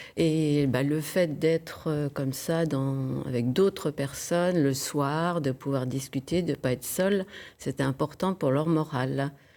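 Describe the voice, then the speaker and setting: A woman speaks at a very slow pace in a very deep, low pitch with a dark, mellow tone. Her loudness stays very even and her intonation fairly even. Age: 70s. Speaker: retiree hosting a student. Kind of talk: TV interview. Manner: hesitant.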